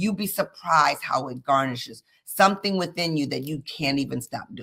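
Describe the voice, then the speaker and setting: The woman talks at a fairly quick pace in an animated tone. Her voice is bright and sharp, with lively intonation. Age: 60s. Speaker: leadership expert. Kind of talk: casual chat.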